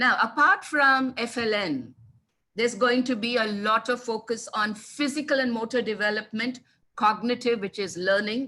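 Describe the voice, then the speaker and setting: Speaking at a moderate pace in an Indian accent, a woman has a bright, sharp tone, a fairly high pitch and ordinary pitch variation. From India (childhood in Kanpur, Telugu family). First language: Telugu. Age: 60s. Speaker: English language teaching specialist. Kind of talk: webinar talk. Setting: online webinar.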